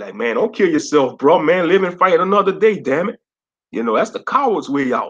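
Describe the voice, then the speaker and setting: A man speaks at a fairly quick pace in a Louisiana accent. His fairly high voice swings very widely in pitch. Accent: Louisiana southern. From Louisiana, US South. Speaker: livestreamer, gaming commentator. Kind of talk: casual livestream chat. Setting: live stream.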